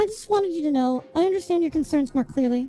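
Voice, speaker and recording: Over music in the background, a man in a put-on character voice talks at a very fast pace with an extremely high, squeaky pitch. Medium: game stream. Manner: measured, know-it-all.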